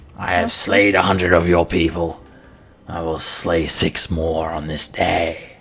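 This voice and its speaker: In a put-on character voice, a man hisses in a raspy, very deep, low register at a fairly slow pace. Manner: defiant.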